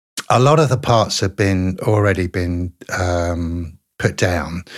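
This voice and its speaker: On a very clean recording with a silent background, a man speaks at a very slow pace. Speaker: singer. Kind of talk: casual interview chat.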